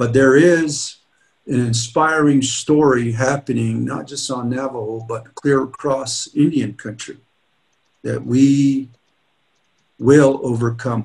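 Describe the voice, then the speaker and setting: A man at a very slow pace, with long, frequent pauses, over a quiet background. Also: fairly even intonation. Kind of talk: keynote speech. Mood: earnest, rallying. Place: office. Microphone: webcam.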